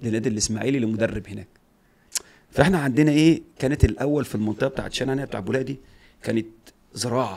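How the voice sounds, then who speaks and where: The speech moves at a fairly quick pace with ordinary pitch variation, big swings in loudness and long, frequent pauses. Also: man, medium pitch for a man. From Egypt. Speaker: retired footballer; guest. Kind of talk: casual interview. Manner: animated. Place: studio. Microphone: studio mic.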